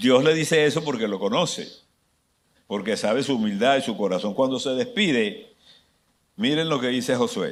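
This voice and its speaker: Long, frequent pauses break up a man's moderate-paced speech, which has very wide pitch swings and audible room echo. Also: medium pitch for a man. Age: 70s. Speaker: pastor. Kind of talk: sermon.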